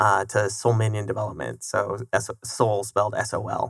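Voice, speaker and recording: In a General American accent, a bright, sharp voice speaks at a moderate pace with monotone, flat intonation on a very clean recording with a silent background. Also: man. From Colorado. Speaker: software development founder. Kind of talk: casual interview. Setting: studio.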